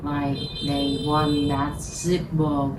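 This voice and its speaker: With noticeable background noise and audible room echo, a woman with a non-native accent talks very slowly in a very deep, low pitch. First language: Vietnamese. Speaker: lighter collector. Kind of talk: casual vlog monologue. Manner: halting, many fillers.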